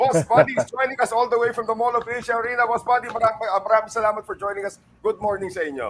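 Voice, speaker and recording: A man's extremely high voice, very fast with hardly any pauses, over noticeable background noise. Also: ordinary pitch variation. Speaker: podcast host. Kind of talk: podcast interview, Taglish.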